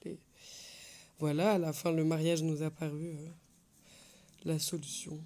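Very deep and low in pitch, a woman's voice carries a dark, mellow tone and monotone, flat intonation. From France. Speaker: interviewee in binational couple. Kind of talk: casual testimony.

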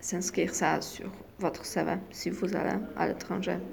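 A woman with a Polish accent talks at a very slow pace. Audible room echo surrounds her voice. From Poland. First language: Polish (speaking French). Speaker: exchange student. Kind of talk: interview. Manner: halting.

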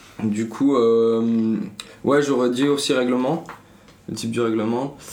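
The tone is dark and mellow, with ordinary pitch variation. Audible room echo surrounds the voice. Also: man. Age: 20s. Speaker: media co-founder. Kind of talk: casual interview.

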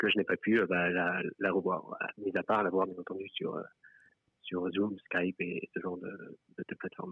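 Speaking at a fairly slow pace, a man uses a very deep, low pitch with monotone, flat intonation. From France. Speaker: member of the public telling his story. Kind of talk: personal testimony in a live stream conversation.

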